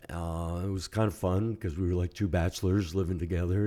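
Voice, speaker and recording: A man with an American accent speaks at a moderate pace with fairly even intonation. His voice is very deep and low with a dark, mellow tone, in a very clean recording with a silent background. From US, New York City. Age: 70s. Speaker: rabbi and podcast host. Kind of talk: personal testimony in podcast interview. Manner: hesitant, many fillers.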